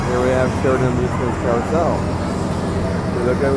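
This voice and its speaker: A man talking at a moderate pace over loud background noise, in a dry sound with no echo. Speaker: carnival enthusiast vlogger. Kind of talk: walking tour commentary. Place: market. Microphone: phone near.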